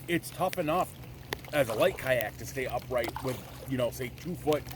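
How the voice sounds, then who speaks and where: Noticeable background noise accompanies a man talking at a moderate pace. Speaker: outdoor adventure vlogger. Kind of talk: casual vlog narration. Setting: outdoors, kayaking in rain. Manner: loud.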